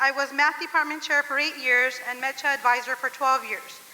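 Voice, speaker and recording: Projecting her voice over noticeable background noise, a woman with an American accent talks at a moderate pace in a high pitch. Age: 40s. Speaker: teacher. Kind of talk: speech read aloud. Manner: loud.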